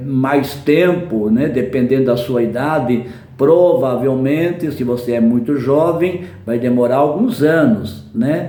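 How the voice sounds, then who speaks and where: A man talks at a very slow pace with a medium pitch and ordinary pitch variation. There is audible room echo and noticeable background noise. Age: 70s. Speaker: preacher. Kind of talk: sermon.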